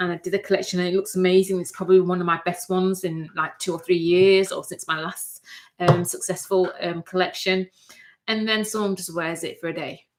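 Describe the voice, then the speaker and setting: With a Mancunian accent, a woman speaks in a medium pitch and a monotone, flat intonation while her loudness swings widely. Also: fairly quick pace. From northern England, Manchester. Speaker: fashion designer and sewing YouTuber. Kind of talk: livestream casual chat. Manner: halting, many fillers.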